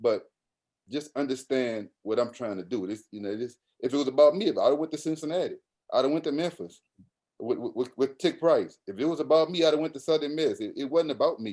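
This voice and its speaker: A man's fairly high-pitched voice with a New Orleans accent, a dark, mellow tone, a fairly quick pace and ordinary pitch variation. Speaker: college basketball coach. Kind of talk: podcast interview answer. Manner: casual, animated storytelling.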